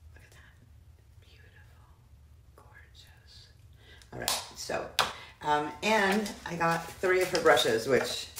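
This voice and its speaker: The speech moves at a very slow pace with long, frequent pauses. Loud background noise runs underneath. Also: woman, ordinary pitch variation. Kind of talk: casual product review chat. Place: bathroom. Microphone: phone near.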